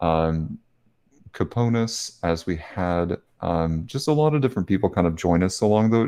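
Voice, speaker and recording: A man with an American accent and a dark, mellow tone talks at a moderate pace with lively intonation over a quiet background. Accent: Southern US, stronger when tired. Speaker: podcast co-host. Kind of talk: casual chat.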